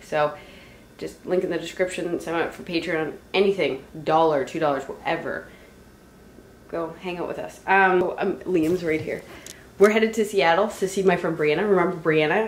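Light background noise and audible room echo surround a woman with a fairly low voice. She talks at a moderate pace with fairly even intonation. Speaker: vlogger. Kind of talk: casual vlog chat. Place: home room. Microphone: phone near.

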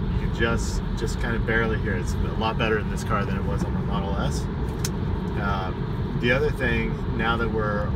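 The man's voice is dry with no echo, while loud noise fills the background. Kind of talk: casual vlog chat. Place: car. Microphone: phone near.

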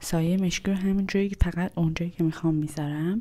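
Soft-spoken, a woman talks at a very fast pace with a very deep, low pitch. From Iran. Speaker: ASMR content creator. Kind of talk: ASMR makeup video narration. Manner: quiet, soft-spoken. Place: home room. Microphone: lapel.

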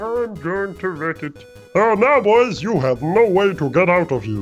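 Someone uses a put-on character voice at a middle pitch and moderate pace, with clear music in the background. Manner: menacing, gloating.

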